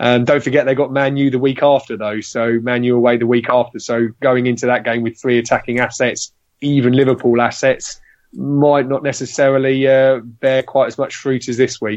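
Flat, monotone intonation comes in an English accent. The pace is moderate. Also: man, medium pitch for a man. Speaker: fantasy football player. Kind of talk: casual chat.

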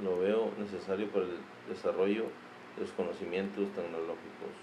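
Noticeable background noise and audible room echo fill the recording. Through them, a man speaks at a moderate pace. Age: 40s. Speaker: parent. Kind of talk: interview. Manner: brief, halting answers.

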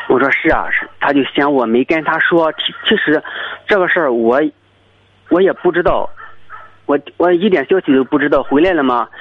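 Over noticeable background noise, a man with a fairly high voice and ordinary pitch variation talks at a moderate pace, leaving long, frequent pauses. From rural China. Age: 30s. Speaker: greenhouse watermelon farmer. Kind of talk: phone-in personal story. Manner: halting.

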